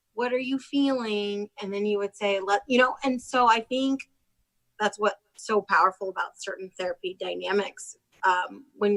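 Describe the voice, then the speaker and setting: The recording is dry and close with no echo as a woman speaks at a moderate pace and medium pitch, her intonation fairly even. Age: 30s. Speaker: podcast host. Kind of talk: casual chat. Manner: loud.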